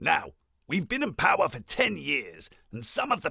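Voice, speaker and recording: A pompous-toned man at a moderate pace. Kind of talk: comic overacting. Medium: comedy sketch. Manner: pompous, flippant, upper-class.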